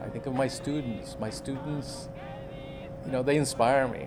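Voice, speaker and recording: Ordinary pitch variation comes through with audible room echo and music playing in the background. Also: man. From Mexico, Juarez (border). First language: Spanish. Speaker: college English teacher. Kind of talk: interview.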